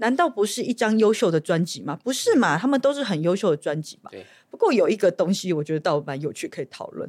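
Speaking very fast with hardly any pauses, a woman at medium pitch swings her pitch very widely and her loudness greatly, on a very clean recording with a silent background. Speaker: podcast host and legislator. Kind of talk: casual interview chat.

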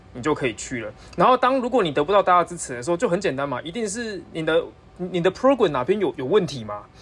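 A man with a high-pitched voice talks at a very fast pace, his pitch swinging very widely. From Taiwan. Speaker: PhD student. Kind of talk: casual chat.

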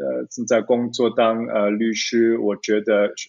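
His intonation stays monotone and flat. The man talks at a fairly low pitch. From Zurich, Switzerland. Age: 30s. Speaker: lawyer. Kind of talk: interview. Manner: halting, many fillers.

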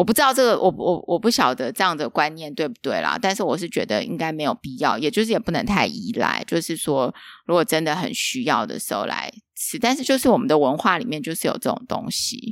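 A woman speaks at a medium pitch, her voice swinging very widely in pitch. The recording is very clean, with a silent background. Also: fairly quick pace. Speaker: podcast host. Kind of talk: casual interview chat. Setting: empty office.

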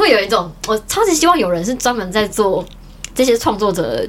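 Fairly high-pitched woman's voice with lively intonation at a moderate pace, over noticeable background noise. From Taiwan, Taichung. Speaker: illustrator and cosplayer. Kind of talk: casual chat.

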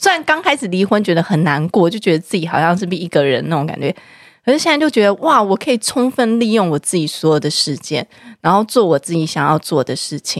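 Recorded very cleanly against a silent background with a dry, close sound and no echo, a woman speaks at a very fast pace with very wide pitch swings. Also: medium pitch for a woman. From Taiwan, Taipei (Zhonghe/Yonghe). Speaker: podcast host. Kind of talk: casual chat.

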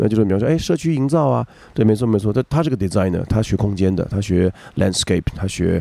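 Lively in intonation, a man talks at a fairly low pitch with a dark, mellow tone and vocal fry. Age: 40s. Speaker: rakugo storyteller. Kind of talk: casual chat. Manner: animated; halting.

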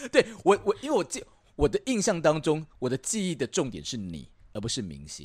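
The voice belongs to a man. There is no echo, and the sound is dry and close. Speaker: radio host. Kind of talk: casual chat. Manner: animated.

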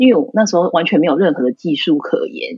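Somewhat breathy and fairly quick, a woman's voice makes very wide pitch swings in a dry, close sound with no echo. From Taiwan. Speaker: florist. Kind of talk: interview.

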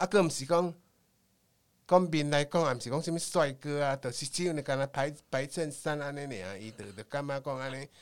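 A man with a Taiwanese accent speaks at a fairly quick pace, his pitch fairly high with ordinary variation. The recording is very clean, with a silent background. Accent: Taiwanese Hokkien-accented Mandarin. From Taiwan, Tainan. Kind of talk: storytelling interview.

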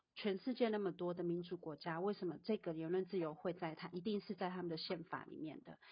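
Here is a woman's voice at medium pitch. It sounds somewhat breathy. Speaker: guest discussing social justice. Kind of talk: casual chat. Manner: halting, many fillers.

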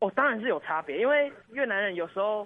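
A man is speaking. His intonation is lively. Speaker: student teacher. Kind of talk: interview. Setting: online call.

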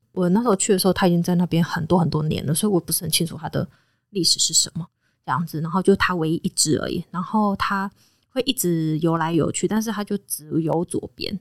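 A woman's fairly low voice at a very fast pace, with ordinary pitch variation and a dry, close sound with no echo. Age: 30s. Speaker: veterinarian and animal trainer. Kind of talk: casual chat.

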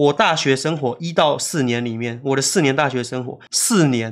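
A man has an ordinary speaking voice at a medium pitch with ordinary pitch variation. He talks at a moderate pace on a very clean recording with a silent background. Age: 30s. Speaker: YouTuber and illustrator. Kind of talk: casual chat.

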